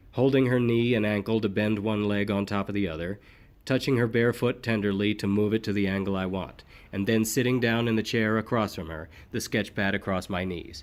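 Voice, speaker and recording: A normal speaking voice from a man, fairly low in pitch with ordinary pitch variation, at a fairly quick pace in a very clean recording with a silent background. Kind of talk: audiobook narration.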